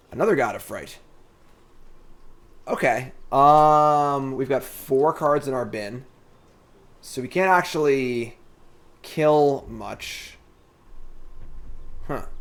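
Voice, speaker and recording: Pausing long and often, a man talks at a fairly high pitch with ordinary pitch variation and big swings in loudness. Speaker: streamer playing card game. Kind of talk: live gameplay commentary. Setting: live stream. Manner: fast; casual.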